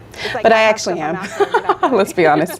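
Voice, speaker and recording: A woman speaks with an American accent. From Atlanta, Georgia, USA. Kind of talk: casual talk to camera. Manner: upbeat.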